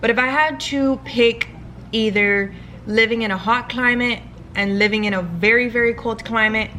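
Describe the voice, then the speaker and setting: With fairly even intonation, a woman speaks at a moderate pace and a fairly high pitch. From Miami, Florida (Cuban American family). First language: Spanish. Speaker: beauty and lifestyle vlogger. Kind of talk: casual get-ready-with-me Q&A. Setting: at home, filming with vlog camera.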